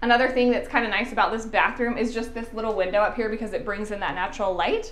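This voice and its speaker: The speaker is a woman with ordinary pitch variation. Audible room echo can be heard. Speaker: home renovation vlogger. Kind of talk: casual vlog chat. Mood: upbeat, light self-laughter. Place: bathroom. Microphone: lapel.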